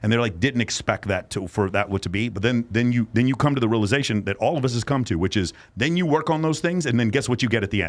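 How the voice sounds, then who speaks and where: A man with an American accent talks at a very fast pace with hardly any pauses, using a medium pitch, lively intonation and an animated tone. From North Texas (East Dallas). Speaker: podcast host and men's coaching program leader. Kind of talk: casual chat.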